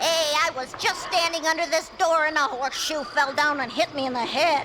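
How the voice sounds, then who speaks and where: A put-on character voice at a moderate pace, over clear background noise. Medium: audio drama.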